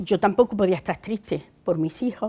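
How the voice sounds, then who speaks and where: A woman with an Andalusian accent speaks fairly quickly at a medium pitch, her intonation lively. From Andalusia, La Rambla (Córdoba). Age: 70s. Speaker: interviewee sharing memories. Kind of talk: personal testimony. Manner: halting.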